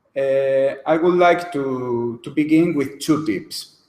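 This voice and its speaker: A man speaks very slowly in a fairly high pitch. The room echo is audible. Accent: Spanish. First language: Spanish. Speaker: lawyer. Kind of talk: lecture. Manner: halting.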